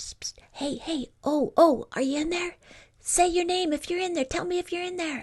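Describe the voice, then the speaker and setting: A woman whispers quietly in a squeaky, put-on character voice. She keeps a moderate pace. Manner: whispering, furtive; hushed and urgent.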